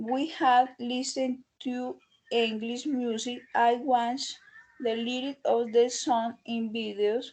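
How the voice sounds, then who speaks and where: Speaking very slowly with a Spanish accent, a woman with a high pitch keeps her intonation fairly even. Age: 20s. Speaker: English language student. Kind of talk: class presentation. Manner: halting.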